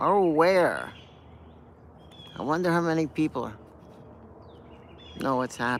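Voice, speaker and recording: Lively intonation marks this man's fairly high-pitched voice, which moves at a moderate pace over noticeable background noise. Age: 60s. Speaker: punk guitarist. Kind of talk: casual talk to camera. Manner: rambling, hesitant.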